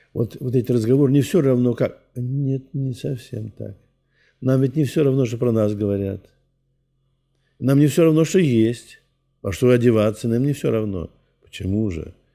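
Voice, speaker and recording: Against a quiet background, a man with a dark, mellow tone speaks at a moderate pace with long, frequent pauses. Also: ordinary pitch variation. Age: 80s+. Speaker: Orthodox priest. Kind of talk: interview.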